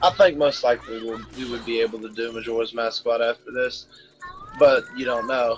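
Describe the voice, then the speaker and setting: Over music in the background, a man speaks at a medium pitch and a moderate pace, with fairly even intonation. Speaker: gaming video creator. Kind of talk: casual chat. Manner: halting, many fillers.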